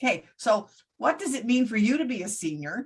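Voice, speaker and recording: A woman's somewhat breathy voice proceeds at a moderate speed. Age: 70s. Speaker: talk show host. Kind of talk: casual chat.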